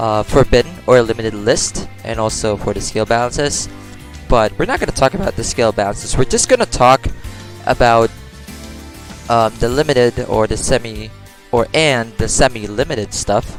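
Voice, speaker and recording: A man with a non-native accent speaks at medium pitch and a moderate pace, with ordinary pitch variation and music in the background. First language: not English. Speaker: mobile card game player. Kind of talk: casual game commentary. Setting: low-quality home microphone. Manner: hesitant, many fillers.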